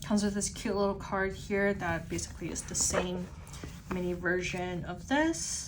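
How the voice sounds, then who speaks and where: In a room with audible echo and noticeable background noise, a woman speaks quietly at a medium pitch and moderate pace with fairly even intonation. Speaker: stationery YouTuber. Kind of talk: unboxing review. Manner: casual, filler-heavy; slightly quieter, pulled away.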